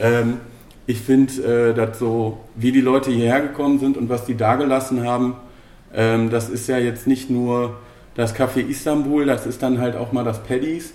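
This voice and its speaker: Speaking at a moderate pace and medium pitch, a man keeps a monotone, flat intonation amid audible room echo and noticeable background noise. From Bochum, Ruhr area, Germany. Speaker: podcast host. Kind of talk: casual chat. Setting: café.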